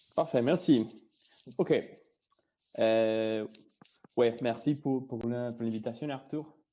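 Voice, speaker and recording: In a Spanish accent, a man talks at a very slow pace, with long, frequent pauses. His tone is dark and mellow. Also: medium pitch for a man, ordinary pitch variation. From Colombia. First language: Spanish (speaking French). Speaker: software engineer, presenter. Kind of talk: technical presentation. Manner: halting, many hesitations.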